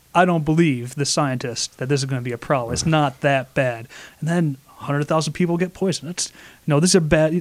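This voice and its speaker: In a plain, everyday voice, a man with an American accent speaks fairly quickly and fairly high, with ordinary pitch variation. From Flint, Michigan. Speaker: engineer and science expo organizer. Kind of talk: casual radio interview.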